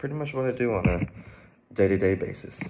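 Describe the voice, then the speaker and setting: Against light background noise, a man with an American accent talks at a moderate pace with ordinary pitch variation. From Georgia, US. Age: 20s. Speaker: college student. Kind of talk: self-introduction video; casual self-introduction. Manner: halting, with fillers. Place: home room. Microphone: phone near.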